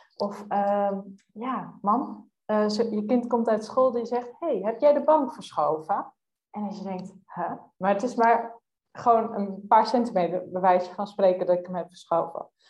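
At a fairly slow pace, a woman with medium pitch and ordinary pitch variation uses an ordinary speaking voice. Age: 20s. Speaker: youth coach. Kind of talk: casual interview.

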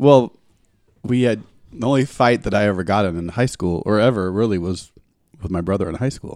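A man talks with a fairly low pitch and ordinary pitch variation. Long, frequent pauses break up his speech. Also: fairly quick pace. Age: 50s. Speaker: podcast co-host. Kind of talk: casual chat.

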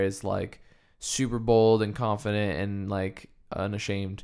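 The recording is very clean, with a silent background. A man speaks at a fairly low pitch and a fairly slow pace, in monotone, flat intonation. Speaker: podcast host. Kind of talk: casual interview chat. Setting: studio at a table with guest.

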